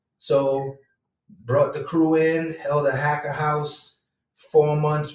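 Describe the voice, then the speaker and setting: A man's somewhat breathy, fairly high voice in a Jamaican accent, very slow and flat in a monotone. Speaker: entrepreneur and vlogger. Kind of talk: casual monologue. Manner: relaxed, conversational.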